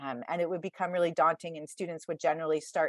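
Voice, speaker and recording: A woman's fairly low voice at a very fast pace, in a dry, close sound with no echo. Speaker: test prep advisor. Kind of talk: virtual workshop presentation.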